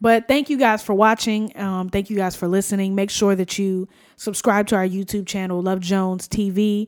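An unremarkable speaking voice at a moderate pace, with fairly even intonation and hardly any pauses. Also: woman, medium pitch for a woman. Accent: American. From New Jersey. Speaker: podcast co-host. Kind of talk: casual chat. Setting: home studio.

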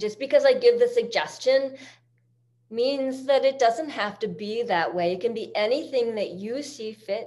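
A woman talks at a fairly slow pace in a normal speaking voice with ordinary pitch variation. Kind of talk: guided yoga class instruction. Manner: calm, rhythmic, soothing cueing; warm, encouraging, reflective.

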